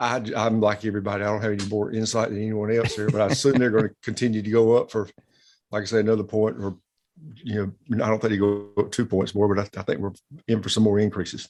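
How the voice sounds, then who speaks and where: Talking at a very fast pace, a man with a South Carolina accent keeps a fairly low pitch and a monotone, flat intonation. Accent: South Carolina Southern. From US South, South Carolina. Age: 60s. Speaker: bank president. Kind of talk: interview.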